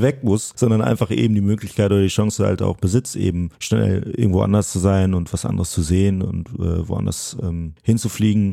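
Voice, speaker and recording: A man speaks at a moderate pace in a fairly low pitch. His tone is dark and mellow, with ordinary pitch variation. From Münsterland, Germany. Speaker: wheelchair racer. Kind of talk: casual interview.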